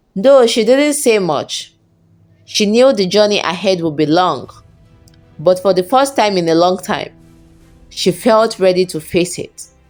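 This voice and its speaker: A woman with medium pitch talks at a fairly slow pace, leaving long, frequent pauses. Her pitch swings very widely, with music in the background. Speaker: storyteller. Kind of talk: folktale story narration.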